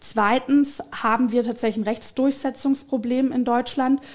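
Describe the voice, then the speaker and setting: A woman speaks with fairly even intonation. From Swabia, southern Germany. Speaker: politician. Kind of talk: political interview. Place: studio. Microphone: headset.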